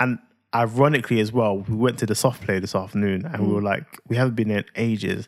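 Speaking with a London accent, a man keeps a medium pitch and fairly even intonation. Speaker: podcast co-host and parent. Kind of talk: casual chat. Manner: playful.

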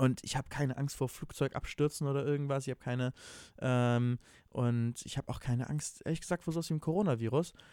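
In a very clean recording with a silent background and a dry, close sound with no echo, a man with a plain, everyday voice and a fairly high pitch speaks at a fairly quick pace with ordinary pitch variation. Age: 20s. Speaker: podcast co-host. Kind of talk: casual chat.

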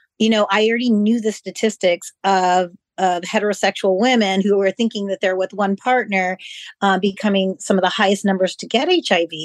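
A woman talks at a fairly quick pace in a plain, everyday voice, her pitch medium and her intonation fairly even. The sound is dry and close with no echo, over a quiet background. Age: 40s. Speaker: occupational therapy practitioner. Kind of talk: personal testimony in panel discussion.

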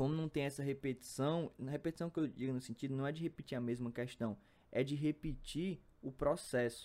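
A man with a fairly high pitch and a dark, mellow tone at a fairly quick pace, on a very clean recording with a silent background. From Brazil, Piauí (Picos). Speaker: math student, podcaster. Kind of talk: casual monologue. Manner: halting.

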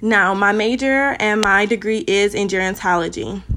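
With an American accent, a woman speaks in a medium pitch with a bright, sharp and animated tone, on a very clean recording with a silent background. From Cleveland, Ohio, US. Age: 20s. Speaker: podcast host. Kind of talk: testimony.

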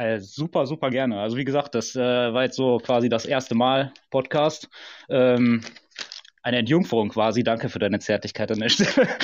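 A man with an ordinary speaking voice, medium pitch, ordinary pitch variation and moderate pace. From Ruhr area, Germany. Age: 30s. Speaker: football fan guest. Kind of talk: casual chat.

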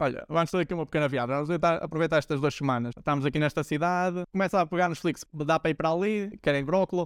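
Speaking at a very fast pace with hardly any pauses, a man uses a fairly high pitch and ordinary pitch variation, in a very clean recording with a silent background and a dry, close sound with no echo. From Portugal, Braga. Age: 20s. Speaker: podcast host. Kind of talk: casual interview.

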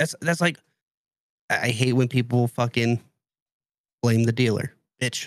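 A man talks at a moderate pace and a medium pitch, with fairly even intonation. His loudness stays very even, and he takes long, frequent pauses. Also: dry, close sound with no echo. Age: 20s. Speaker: podcast co-host. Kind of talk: casual chat.

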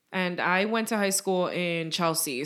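A woman talks in a New York accent over noticeable background noise. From New York City (Bronx). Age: 20s. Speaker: podcast co-host. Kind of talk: casual chat.

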